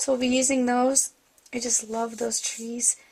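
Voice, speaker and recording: Noticeable background noise accompanies a woman whose high voice stays monotone and flat. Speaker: card-making tutorial host. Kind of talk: tutorial.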